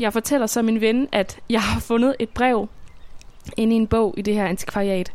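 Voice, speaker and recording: Her loudness very even, a woman with a plain, everyday voice speaks at a moderate pace in a fairly high pitch with fairly even intonation. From Denmark, southern Funen (Svendborg). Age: 20s. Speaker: radio documentary maker. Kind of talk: scripted narration.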